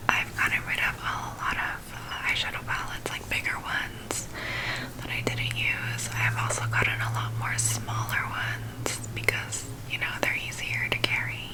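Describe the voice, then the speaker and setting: A woman's whisper over noticeable background noise. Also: moderate pace. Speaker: beauty and ASMR content creator. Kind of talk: casual talk to camera. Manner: whispered.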